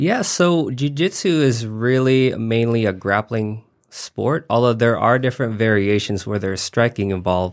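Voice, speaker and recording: A man with an American accent, at a medium pitch with ordinary pitch variation, speaks at a moderate pace in an unremarkable speaking voice, recorded very cleanly against a silent background. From Nevada, US. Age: 20s. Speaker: SEO business owner. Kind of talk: casual interview.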